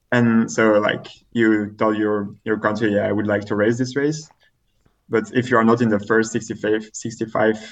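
Against a quiet background, a man speaks with a French accent. His pitch is medium and his intonation fairly even. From Belgium, French-speaking part. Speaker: elite triathlete. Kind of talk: casual interview. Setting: remote call. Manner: halting, many fillers.

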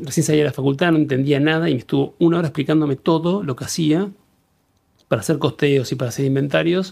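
A man speaks very fast at a fairly high pitch with fairly even intonation. The recording is very clean, with a silent background. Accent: Rioplatense. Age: 50s. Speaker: business owner. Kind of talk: casual interview.

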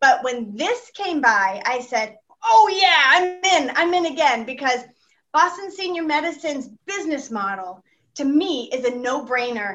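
This speaker has a bright, sharp tone with an American accent. The pitch swings very widely at a moderate pace. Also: woman. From Texas. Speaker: senior home medical care company representative. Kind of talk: podcast interview.

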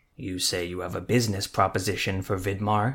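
In a very clean recording with a silent background, a man growls in a put-on character voice, fairly low in pitch and at a fairly quick pace. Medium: read story. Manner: menacing, curt.

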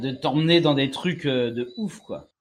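Speaking fairly slowly, a man is heard. The recording is very clean and the background silent. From Martinique. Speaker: podcast host. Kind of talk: casual chat. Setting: outdoors on a terrace.

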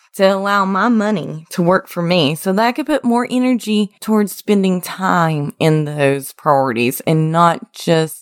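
Speaking in an Appalachian accent, a woman at medium pitch uses very wide pitch swings at a fairly slow pace, in a dry, close sound with no echo. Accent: Appalachian American. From West Virginia, US. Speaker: podcast host, engineer. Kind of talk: scripted-style solo podcast intro, motivational.

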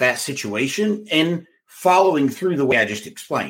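With vocal fry and very wide pitch swings, a man speaks at a moderate pace and a fairly high pitch. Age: 40s. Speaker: business and sales coach, podcast host. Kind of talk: solo podcast talk, coaching pitch. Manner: animated.

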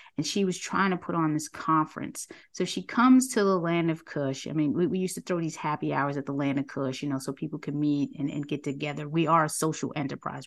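A woman with a New York accent talks at a very fast pace with hardly any pauses, her pitch very deep and low. The background is quiet. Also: ordinary pitch variation. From New York City. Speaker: nonprofit director and talk show host. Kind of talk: interview.

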